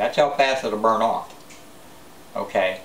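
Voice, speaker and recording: A man with an American accent at a fairly slow pace, ordinary pitch variation, audible room echo and noticeable background noise. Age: 60s. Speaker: prepper vlogger. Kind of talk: casual monologue vlog. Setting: self-filmed on camera. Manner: halting, many fillers.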